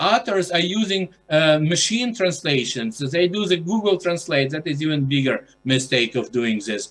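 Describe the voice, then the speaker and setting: A man at a high pitch with very wide pitch swings and a moderate pace, over music in the background. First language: Ukrainian. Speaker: journal editor. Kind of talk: conference presentation. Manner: halting, many fillers.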